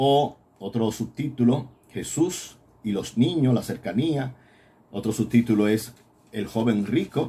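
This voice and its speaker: Speaking at a very slow pace with long, frequent pauses, a man uses a dark, mellow, somewhat breathy tone at a medium pitch with ordinary pitch variation. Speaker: priest teaching a Bible course. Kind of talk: recorded Bible lecture.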